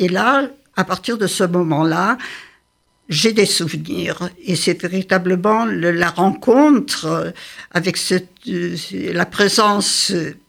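Very slow female speech, fairly low in pitch, with vocal fry and ordinary pitch variation. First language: Yiddish (speaking French). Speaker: translator and scholar of Yiddish literature. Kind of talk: interview.

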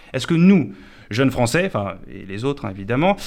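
This man speaks at a medium pitch. His voice makes very wide pitch swings. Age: 20s. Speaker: comedian. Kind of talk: comic monologue. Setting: radio studio.

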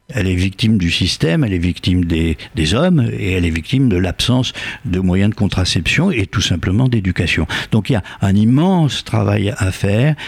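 Holding a very even loudness, a man with a fairly low pitch talks at a moderate pace with lively intonation over noticeable background noise. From Algeria. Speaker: author. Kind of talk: interview. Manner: halting with frequent repetitions.

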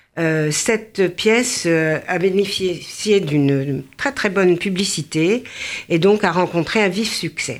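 Speaking at a very slow pace, a woman uses lively intonation at a fairly low pitch. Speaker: charity volunteer. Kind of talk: radio interview.

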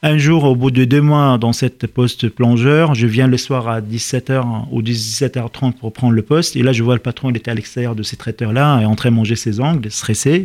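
At a moderate pace and medium pitch, a man speaks with fairly even intonation in a dry, close sound with no echo. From Lebanon (Lebanese diaspora, born in Liberia). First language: Arabic (speaking French). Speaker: chef. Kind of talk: radio interview. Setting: radio studio.

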